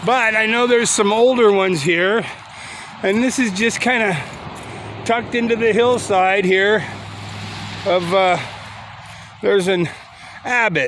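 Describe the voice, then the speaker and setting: Relaxed in tone, a man with a high pitch speaks at a fairly slow pace with long, frequent pauses and very even loudness, amid noticeable background noise and audible room echo. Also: ordinary pitch variation. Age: 60s. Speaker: YouTuber touring cemeteries. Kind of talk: casual vlog narration. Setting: outdoors in a cemetery. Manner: relaxed, halting with fillers.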